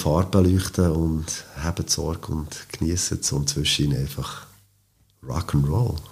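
Moderate pace with fairly even intonation. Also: man. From Switzerland, Biel. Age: 50s. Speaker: boogie-woogie pianist. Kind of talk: interview.

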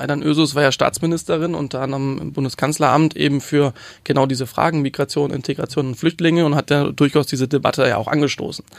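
Fairly even intonation at a very fast pace, from a man with a fairly high pitch. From Hamburg, Germany. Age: 20s. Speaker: youth politician. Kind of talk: interview. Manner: hesitant with fillers.

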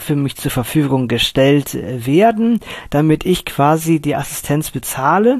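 A man with an unremarkable speaking voice talks fairly slowly at a fairly high pitch. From Cologne, western Germany. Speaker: blind sound engineer. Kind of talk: interview.

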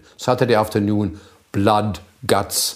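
A man speaks with a German accent at a fairly low pitch. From northern Germany. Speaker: type designer. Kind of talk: casual chat. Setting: home kitchen.

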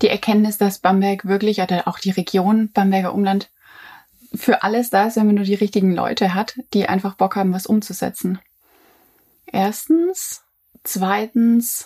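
A woman with a somewhat breathy, dark, mellow tone speaks at a moderate pace, leaving long, frequent pauses. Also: medium pitch for a woman, fairly even intonation. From near Stuttgart, Swabia, Germany. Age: 20s. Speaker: journalist and coworking space founder. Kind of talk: casual chat.

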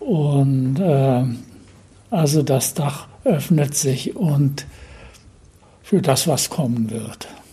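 Speaking at a very slow pace with long, frequent pauses, a man with a fairly high pitch shows ordinary pitch variation amid audible room echo and noticeable background noise. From northeastern Germany, Usedom island (born Berlin). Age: 80s+. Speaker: painter. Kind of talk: interview. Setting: his home near the beach. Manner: halting.

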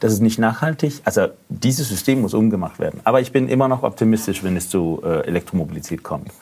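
A man with medium pitch and lively intonation talks at a fairly quick pace with hardly any pauses. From Denmark. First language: Danish (speaking German). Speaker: AI entrepreneur, mobility researcher. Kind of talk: casual chat.

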